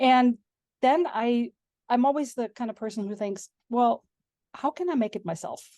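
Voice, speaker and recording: A woman speaks at a high pitch with a dark, mellow tone, in a dry, close sound with no echo. Her pace is moderate, with long, frequent pauses. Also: ordinary pitch variation. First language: German. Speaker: homemaking and sourdough blogger. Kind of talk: interview.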